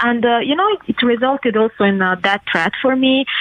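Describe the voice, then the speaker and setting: A high-pitched woman with an Italian accent, amid noticeable background noise. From southern Italy. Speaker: interview guest. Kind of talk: interview.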